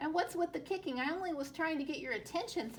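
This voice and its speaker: Squeaky put-on character voice at a very fast pace, lively intonation, and clear background noise. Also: woman, high pitch for a woman. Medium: read story.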